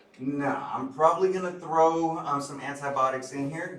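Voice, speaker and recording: Audible room echo surrounds the voice. It belongs to a man. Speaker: medical lecturer. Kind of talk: lecture. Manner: loud; many filler ums.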